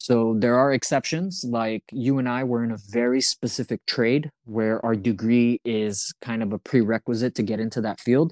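A man talks at a moderate pace and medium pitch with hardly any pauses, in an ordinary speaking voice with ordinary pitch variation. The sound is dry and close with no echo, over a quiet background. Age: 30s. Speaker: podcast host. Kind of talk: casual chat.

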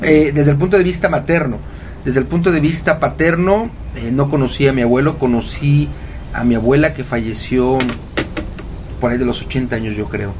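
At a moderate pace, a man with a fairly high voice talks with ordinary pitch variation and long, frequent pauses. Audible room echo and noticeable background noise surround him. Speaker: radio host and happiness coach. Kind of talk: casual radio talk. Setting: home studio. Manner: animated.

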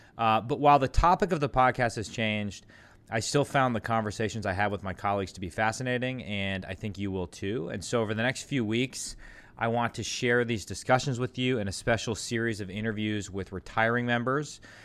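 On a very clean recording with a silent background, a normal speaking voice goes at a fairly quick pace with ordinary pitch variation. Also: man, medium pitch for a man. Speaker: congressman hosting podcast interviews. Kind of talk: casual interview.

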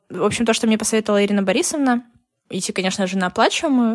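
A woman with an ordinary speaking voice talks in a fairly high pitch with lively intonation. The sound is dry and close, with no echo. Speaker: former English teacher, emigrant to the US. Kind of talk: casual chat.

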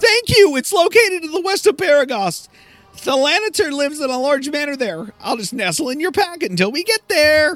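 A man puts on a character voice pitched extremely high, with faint music in the background. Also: moderate pace. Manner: clucking, cheerful.

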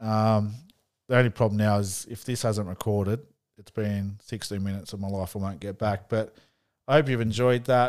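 A man with an Australian accent speaks at a fairly low pitch on a very clean recording with a silent background. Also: moderate pace. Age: 40s. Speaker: sports podcast host. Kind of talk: solo sports tips podcast. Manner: casual, some hesitations.

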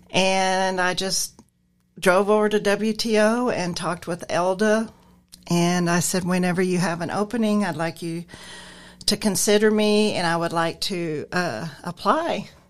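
In a normal speaking voice, a woman with an American accent talks at a fairly slow pace, her medium pitch held in fairly even intonation. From Nebraska. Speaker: transportation driver and receptionist. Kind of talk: casual interview.

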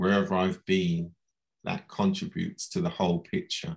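A man speaks with a London accent. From London, England. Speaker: management consultant. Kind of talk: interview. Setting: live audio room with audience.

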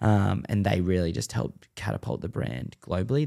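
Heard in a very clean recording with a silent background, the speaker uses an Australian accent, a dark, mellow tone, vocal fry and lively intonation at a moderate pace. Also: man. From Western Sydney, Australia. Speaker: former pro scooter rider and content creator. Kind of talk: casual chat. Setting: studio.

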